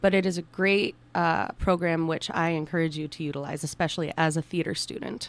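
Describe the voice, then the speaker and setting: A woman with a plain, everyday voice, fairly low in pitch, at a fairly quick pace with fairly even intonation and hardly any pauses. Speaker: guest co-host, theater student. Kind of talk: radio interview. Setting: radio studio.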